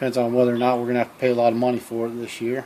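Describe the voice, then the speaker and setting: Over noticeable background noise, a man with an American accent talks at a very fast pace in a medium pitch. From Iowa, US. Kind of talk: unscripted comic self-dialogue with country sayings. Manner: casual, joking.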